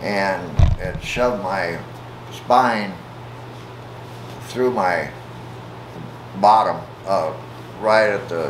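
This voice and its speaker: A man with an American accent speaks at a very slow pace in a fairly low pitch, with long, frequent pauses, audible room echo and noticeable background noise. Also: ordinary pitch variation. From US Midwest, Omaha, Nebraska. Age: 70s. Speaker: interviewee, retired railroad worker. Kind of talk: interview. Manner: halting, many fillers.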